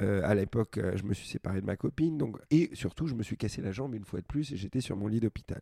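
A man's fairly low-pitched voice, dark and mellow in tone, at a fairly quick pace, in a dry, close sound with no echo. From France, immigrant family (Algerian father, Greek mother). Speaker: startup founder, former roller skating champion. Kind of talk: interview. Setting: at his home.

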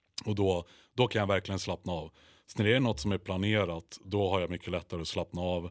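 Speech at a fairly quick pace comes through in a very clean recording with a silent background. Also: man. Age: 20s. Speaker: bodybuilder. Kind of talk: casual chat.

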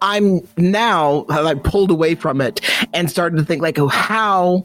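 Fairly slow delivery with ordinary pitch variation. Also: man. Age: 30s. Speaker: podcast host. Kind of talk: casual chat. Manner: casual, profane, laughing.

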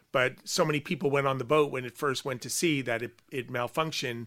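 A man with a slight Long Island accent has a fairly high pitch and a bright, sharp tone. He talks at a fairly quick pace with ordinary pitch variation in a very clean recording with a silent background. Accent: Long Island New York, slight. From Long Island, US. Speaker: art writer and curator. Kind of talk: casual interview chat. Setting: studio.

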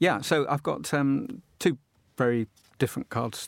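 A man with a southern English accent in a very clean recording, silent background, dry, close sound with no echo. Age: 60s. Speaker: postcard collector and dealer. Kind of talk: casual chat.

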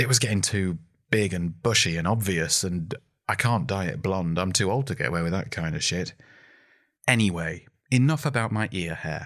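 A man's very deep, low voice with lively intonation, on a very clean recording with a silent background. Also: moderate pace. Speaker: podcast host and comedian. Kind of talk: stand-up comedy clip. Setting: recorded at home in lockdown.

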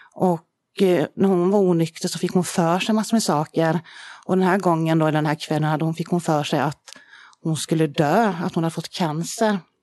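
This woman's fairly low voice holds fairly even intonation at a moderate pace. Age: 40s. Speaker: founder of a charity. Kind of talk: personal testimony. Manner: halting, many fillers.

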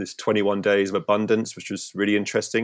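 A man with a Cornish accent talks at a fairly quick pace in a fairly low pitch, on a very clean recording with a silent background. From Cornwall, St Ives. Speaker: surfer and filmmaker. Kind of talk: casual chat.

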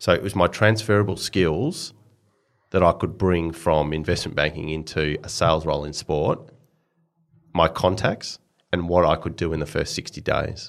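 Heard in a very clean recording with a silent background, a man with an Australian accent speaks at a fairly quick pace. His pitch is very deep and low, with ordinary variation. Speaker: sports executive. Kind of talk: interview.

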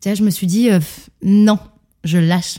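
Speaking at a moderate pace, a woman sounds animated. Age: 30s. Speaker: fitness coach. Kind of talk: interview.

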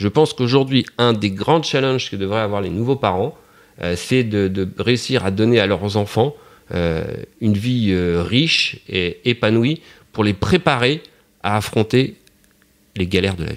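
Pitched fairly low, a man talks at a fairly slow pace with ordinary pitch variation. Long, frequent pauses break up his speech. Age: 50s. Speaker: father of four. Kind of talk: interview testimony. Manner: halting, repeats words.

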